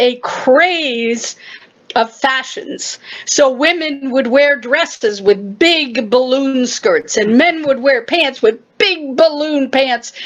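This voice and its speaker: Over noticeable background noise, a woman speaks very slowly at a high pitch, with ordinary pitch variation and very even loudness. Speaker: poetry reciter. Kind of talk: short explanatory talk.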